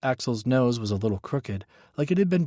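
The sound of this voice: Lively intonation in an unforced reading voice.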